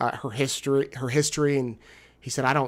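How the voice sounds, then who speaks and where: In a very clean recording with a silent background, a man talks at a fairly quick pace. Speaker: TV reporter and show host. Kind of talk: live recap show. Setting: hotel room.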